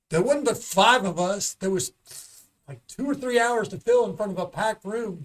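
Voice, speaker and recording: A loud, high-pitched man with lively intonation. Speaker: stand-up comedian. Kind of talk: casual chat. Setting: studio.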